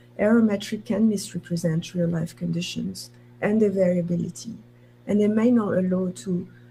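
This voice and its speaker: The speech moves at a moderate pace. Room echo is audible around it. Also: woman. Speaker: university professor. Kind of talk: conference talk.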